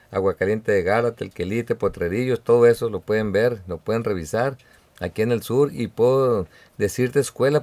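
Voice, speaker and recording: A man speaks at a moderate pace in a fairly low pitch with ordinary pitch variation. He has an unremarkable speaking voice. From Mexico, Sinaloa (Badiraguato). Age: 50s. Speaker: political candidate. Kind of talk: radio interview.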